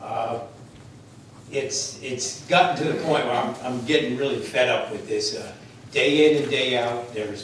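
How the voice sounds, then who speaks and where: With an American accent, a man at medium pitch speaks amid noticeable background noise and audible room echo. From New Jersey. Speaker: resident speaking at public comment. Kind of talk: public comment at council meeting. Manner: loud.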